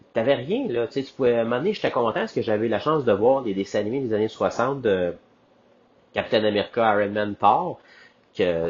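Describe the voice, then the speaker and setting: With a Quebec accent, a man speaks at medium pitch and a moderate pace, his pitch varying in an ordinary way. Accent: Québécois French. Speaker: podcast host. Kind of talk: casual solo monologue. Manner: animated.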